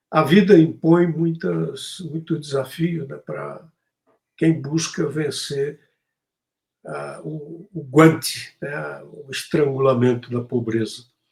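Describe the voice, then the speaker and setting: Somewhat breathy and fairly high-pitched, a man speaks at a very slow pace with ordinary pitch variation and big swings in loudness. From Brazil, Tocantins (Porto Nacional). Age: 70s. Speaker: poet and activist. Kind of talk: interview.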